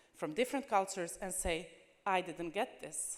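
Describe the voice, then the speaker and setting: A woman speaks with a non-native accent. Her medium pitch shows ordinary pitch variation. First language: not English. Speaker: language teacher. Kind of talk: conference presentation.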